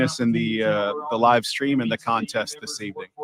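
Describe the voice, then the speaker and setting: Pitch moves in an ordinary way. The speaking pace sits at a moderate level. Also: man. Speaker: event emcee / announcer. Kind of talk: live event hosting.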